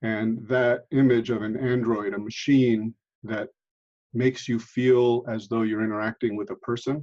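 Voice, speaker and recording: Fairly even intonation and a moderate pace carry the speaker's American accent. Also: man. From United States. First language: Italian. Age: 60s. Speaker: history professor. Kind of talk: interview. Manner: hesitant, with fillers.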